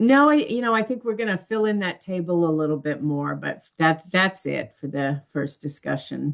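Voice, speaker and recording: A woman with a fairly low pitch and an unremarkable speaking voice talks with lively intonation and hardly any pauses. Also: moderate pace. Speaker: nursing course instructor. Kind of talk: online class meeting.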